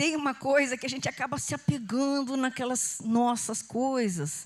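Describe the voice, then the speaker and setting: A high-pitched woman with a slight Goiás accent. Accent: slight Goiás accent picked up. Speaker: pastor. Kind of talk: sermon. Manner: conversational.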